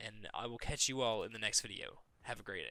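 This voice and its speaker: At a moderate pace, a man talks in a bright, sharp tone with vocal fry. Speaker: YouTuber. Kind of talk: casual vlog monologue. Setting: home recording late at night.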